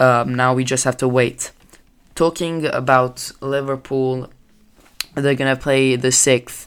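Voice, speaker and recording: A man with a non-native accent speaks at a medium pitch in a flat monotone. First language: not English. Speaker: amateur sports podcaster. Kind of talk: solo news-style podcast. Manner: halting, many fillers.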